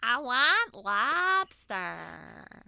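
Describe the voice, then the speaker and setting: A female-sounding put-on character voice, high in pitch, with an American accent. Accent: exaggerated American. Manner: funny, mocking impression of the speaker.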